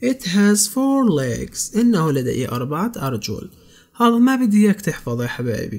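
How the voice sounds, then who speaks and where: A man speaks in a Palestinian accent at a fairly slow pace. His pitch swings very widely. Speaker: English tutor. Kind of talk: tutorial.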